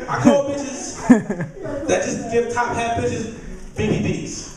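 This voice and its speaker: Loud background noise runs under a man speaking at a very slow pace. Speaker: stand-up comedian. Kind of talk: stand-up. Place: stage. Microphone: handheld.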